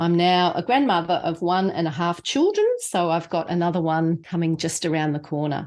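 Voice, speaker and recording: The speaker has an Australian accent and talks at a moderate pace with hardly any pauses. Pitch variation is ordinary. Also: woman, fairly low pitch for a woman. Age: 60s. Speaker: podcast co-host, patient advocate. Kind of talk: casual podcast conversation.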